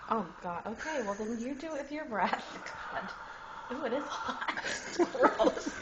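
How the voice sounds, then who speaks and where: Over noticeable background noise, a woman with a high pitch speaks at a fairly slow pace with very wide pitch swings and long, frequent pauses. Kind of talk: casual talk to camera, amateur comedy video. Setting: indoors at night, roommate sleeping in next room. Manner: whispered.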